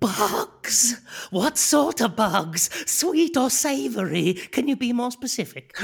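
A female-sounding, put-on character voice speaks fairly slowly at a fairly high pitch. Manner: meek, eager, excitable.

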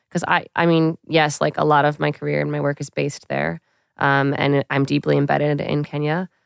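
A woman talks at a fairly quick pace. The sound is dry and close with no echo, on a very clean recording with a silent background. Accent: American. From Queens, New York. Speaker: wildlife ecologist. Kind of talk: casual conversation.

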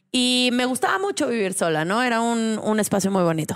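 A woman speaks slowly, fairly so, at a high pitch. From Mexico, San Luis Potosí. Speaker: women's rights activist. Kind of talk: casual chat.

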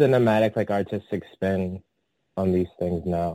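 A man with a Californian accent talks at a moderate pace. The recording is very clean with a silent background, and the sound is dry and close with no echo. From San Francisco Bay Area. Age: 30s. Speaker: adult performer and artist. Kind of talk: interview. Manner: hesitant, filler-heavy.

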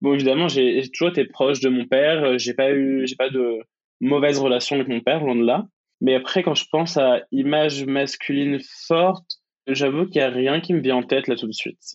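At a moderate pace, a man with a fairly high pitch talks with fairly even intonation. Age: 20s. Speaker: student and UX designer. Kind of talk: interview. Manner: hesitant, many fillers.

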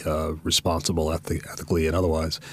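A man with an American accent, very deep and low in pitch, at a fairly quick pace. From US South, Jacksonville, Florida. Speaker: university dean and former ambassador. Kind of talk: interview.

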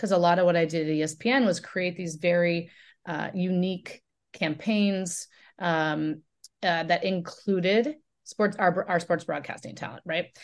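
An unremarkable speaking voice from a woman, fairly low in pitch, with fairly even intonation, a moderate pace and a quiet background. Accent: American. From Oregon, US Pacific Northwest. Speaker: media company founder and CEO. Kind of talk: interview.

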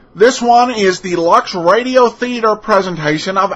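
A man speaks at a fairly slow pace. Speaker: podcast host. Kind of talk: podcast intro and outro, casual commentary. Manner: casual, hesitant with filler words.

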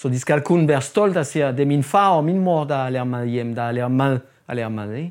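A man talks at a fairly quick pace in a fairly high pitch with ordinary pitch variation. The recording is very clean, with a silent background. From France. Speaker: chef. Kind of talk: interview. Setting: outdoors. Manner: halting.

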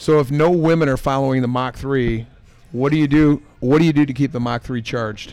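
A man with an American accent speaks in an unremarkable speaking voice, keeping his intonation fairly even at a fairly quick pace. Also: fairly high pitch for a man. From Michigan, US Midwest. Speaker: brewer. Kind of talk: casual chat. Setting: pub.

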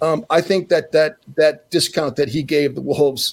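In a normal speaking voice, a man with an American accent talks at a moderate pace with fairly even intonation. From Minnesota. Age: 60s. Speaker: basketball broadcaster and former NBA player. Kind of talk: casual chat.

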